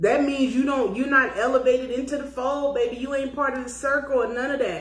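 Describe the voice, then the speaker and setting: A woman's high-pitched, animated voice with audible room echo. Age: 50s. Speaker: podcast host. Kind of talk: casual chat.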